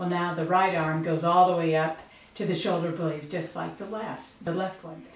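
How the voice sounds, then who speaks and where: A woman speaks at a moderate pace and fairly low pitch, monotone and flat, with big swings in loudness. Room echo is audible, and background noise is noticeable. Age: 60s. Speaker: patient giving testimonial. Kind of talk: testimonial interview. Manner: hesitant, with frequent fillers.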